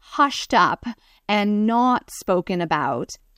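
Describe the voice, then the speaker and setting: Recorded very cleanly against a silent background, a woman in a normal speaking voice talks at medium pitch with ordinary pitch variation, the sound dry and close with no echo. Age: 40s. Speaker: breast cancer patient advocate. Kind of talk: interview.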